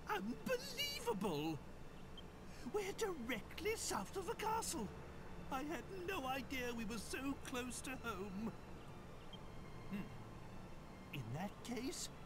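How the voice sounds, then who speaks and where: A put-on character voice, fairly high-pitched and very slow, against loud background noise. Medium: game stream. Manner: pompous, exclamatory.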